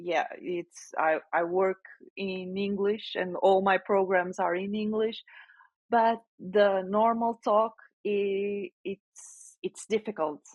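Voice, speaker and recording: At a very slow pace, a woman with a non-native accent talks at medium pitch with fairly even intonation. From Portugal. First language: Portuguese. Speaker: generative AI specialist and author. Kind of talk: interview answer. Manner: halting, with hesitations.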